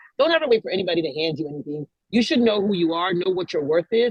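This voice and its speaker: Loud and at a very fast pace, a woman speaks with very wide pitch swings in a dry, close sound with no echo. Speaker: music industry manager and CEO. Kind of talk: interview. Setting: video call.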